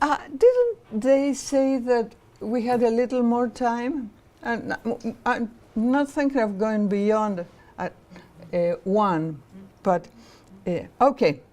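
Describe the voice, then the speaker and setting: Over noticeable background noise, a woman with a Spanish accent speaks at a very slow pace in a high pitch, with ordinary pitch variation and long, frequent pauses. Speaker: professor and political activist. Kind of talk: lecture. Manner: halting, many fillers.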